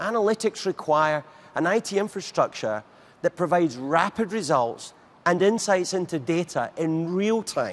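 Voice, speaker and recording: With a British accent, a man speaks at a moderate pace in a high pitch. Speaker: technology sales executive. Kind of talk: keynote speech; keynote presentation. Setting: stage with audience. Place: stage. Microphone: lapel.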